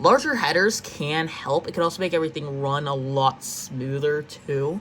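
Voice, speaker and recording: A woman speaks at a moderate pace with a very deep, low pitch. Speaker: gaming YouTuber. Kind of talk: gameplay commentary. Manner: casual, thinking aloud with fillers; stuttering at times.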